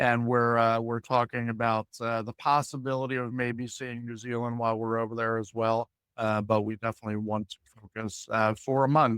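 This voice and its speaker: In a very clean recording with a silent background, a man speaks at a moderate pace in a monotone, flat delivery with hardly any pauses, the sound dry and close with no echo. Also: medium pitch for a man. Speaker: podcast host. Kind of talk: casual interview talk.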